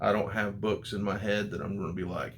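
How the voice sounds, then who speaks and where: A man with an American accent speaks at a moderate pace with a fairly low pitch. Audible room echo fills the recording. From United States. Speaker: comic book YouTuber. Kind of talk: casual vlog review.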